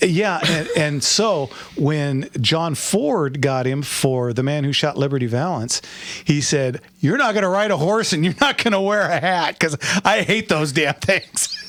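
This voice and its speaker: A fairly high-pitched man with lively intonation at a fairly slow pace. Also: very even loudness. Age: 60s. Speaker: radio host. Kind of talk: call-in radio show. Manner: halting.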